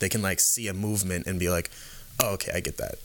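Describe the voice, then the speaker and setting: A man's very deep, low voice with an American accent and fairly even intonation. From California Bay Area and Canada. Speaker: performance coach, MMA background. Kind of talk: casual chat. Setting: studio.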